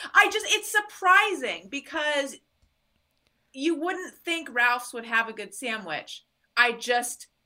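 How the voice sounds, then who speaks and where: Speaking very slowly with long, frequent pauses, a woman uses a raised, projected, high voice with a bright, sharp tone and very wide pitch swings. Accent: American. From Southern California, Orange County. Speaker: podcaster. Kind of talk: casual chat.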